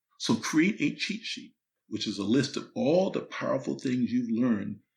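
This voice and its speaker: At a moderate pace, a man talks with vocal fry and ordinary pitch variation. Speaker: motivational speaker and author. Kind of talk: instructional talk. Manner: casual, conversational; whispering a little.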